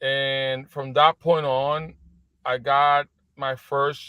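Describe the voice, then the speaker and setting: Pitched fairly high, a man talks with a Spanish accent. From Puerto Rico. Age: 40s. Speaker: business executive. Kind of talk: interview. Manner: halting.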